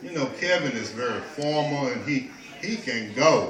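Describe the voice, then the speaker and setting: A man's fairly high voice with lively intonation at a fairly slow pace, with audible room echo and noticeable background noise. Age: 60s. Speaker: storyteller and peace teacher. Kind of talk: casual talk to an audience. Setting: kava bar. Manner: halting, with many repetitions.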